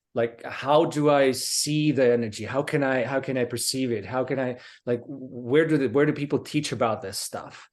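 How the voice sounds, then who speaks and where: Over a quiet background, a man with a Slovak accent speaks at a medium pitch and moderate pace, with fairly even intonation and hardly any pauses. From Slovakia. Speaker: martial arts instructor. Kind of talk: casual interview. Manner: halting.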